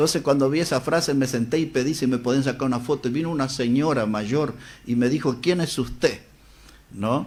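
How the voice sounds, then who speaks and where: A man talks at medium pitch in an unremarkable speaking voice. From Uruguay, Salto. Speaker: preacher and radio broadcaster. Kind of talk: interview storytelling.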